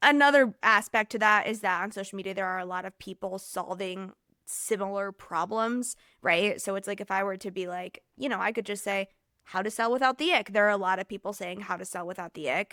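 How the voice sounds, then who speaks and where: A woman's medium-pitched voice with a bright, sharp tone and ordinary pitch variation, at a fairly quick pace, in a very clean recording with a silent background and a dry, close sound with no echo. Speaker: podcast host. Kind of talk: solo podcast monologue. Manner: uses many filler words.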